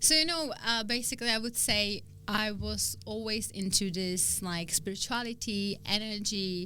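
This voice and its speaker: This woman has a Czech accent and a medium pitch with ordinary pitch variation. She speaks at a moderate pace against noticeable background noise. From Czech Republic, small town near Prague. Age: 30s. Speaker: spiritual coach. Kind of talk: interview.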